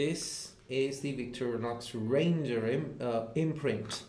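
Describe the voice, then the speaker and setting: A man's voice with ordinary pitch variation carries audible room echo. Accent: Indian. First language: Hindi. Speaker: YouTuber, knife collector. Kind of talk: unboxing video. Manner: hesitant, many fillers.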